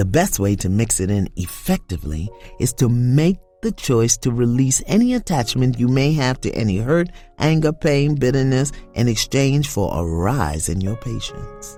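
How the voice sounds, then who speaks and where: A woman speaks with a very deep, low pitch and very wide pitch swings. Music plays in the background. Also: moderate pace. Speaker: spiritual coach. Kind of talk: guided spiritual devotional.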